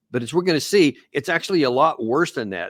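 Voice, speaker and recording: A man with ordinary pitch variation on a very clean recording, silent behind him, the sound dry and close with no echo. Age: 60s. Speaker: political commentator. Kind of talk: solo commentary. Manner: halting, frequent fillers and restarts.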